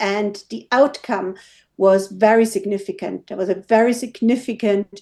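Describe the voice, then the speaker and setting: Speaking with a German accent at a moderate pace, a woman uses a medium pitch, fairly even intonation and a dark, mellow tone. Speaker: WooCommerce developer. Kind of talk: interview.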